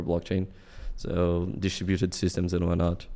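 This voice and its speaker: A man's very deep, low voice in a Portuguese accent, with a dark, mellow tone. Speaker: self-taught programmer and streamer. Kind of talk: casual interview chat. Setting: remote call.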